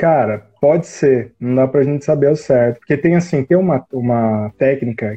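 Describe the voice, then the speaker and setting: At a moderate pace, a man talks in a plain, everyday voice. His pitch is medium, with ordinary variation. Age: 30s. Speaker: marketing consultant and university professor. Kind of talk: casual interview on a live stream.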